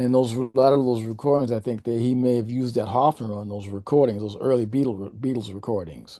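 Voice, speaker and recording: A man's medium-pitched voice, dark and mellow in tone, with hardly any pauses. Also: fairly even intonation, fairly quick pace. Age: 70s. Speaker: jazz bassist. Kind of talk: interview. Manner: halting, many restarts.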